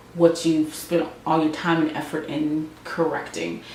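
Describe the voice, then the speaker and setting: A woman's fairly low voice at a moderate pace, with audible room echo and noticeable background noise. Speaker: beauty and lifestyle vlogger. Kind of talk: casual vlog update. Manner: halting, many fillers and restarts.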